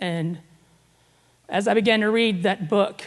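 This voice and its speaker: A woman speaks with an Arkansas accent. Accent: Southern US (Arkansas). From US South, Northwest Arkansas. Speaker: guest speaker. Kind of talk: testimony. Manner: casual, conversational.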